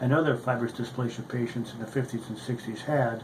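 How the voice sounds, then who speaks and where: A man talks at a fairly quick pace with fairly even intonation. Background noise is noticeable. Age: 60s. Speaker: orthopedic surgeon and patient advocate. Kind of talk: prepared testimony statement. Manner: formal.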